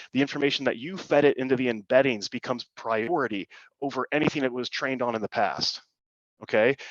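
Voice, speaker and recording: A man speaks at a very fast pace in a medium pitch, with ordinary pitch variation. The sound is dry and close, with no echo. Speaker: insurance agency owner presenting on AI. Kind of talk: workshop presentation. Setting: online call.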